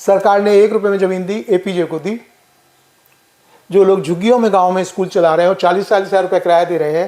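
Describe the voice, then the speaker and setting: This man has a high pitch and a fairly even intonation. His pace is moderate. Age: 70s. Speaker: social worker. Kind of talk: interview.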